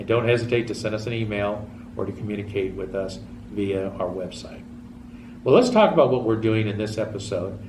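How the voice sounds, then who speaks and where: Room echo is audible as a man speaks at a fairly quick pace. His pitch is fairly low and his intonation fairly even. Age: 60s. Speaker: TV show host. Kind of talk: public access TV talk show monologue. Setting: TV studio.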